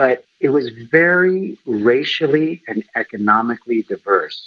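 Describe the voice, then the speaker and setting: Speaking fairly slowly with an American accent, a man uses an ordinary speaking voice with lively intonation. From US West Coast, Los Angeles. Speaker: private investigator, former reporter. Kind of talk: interview. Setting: phone call.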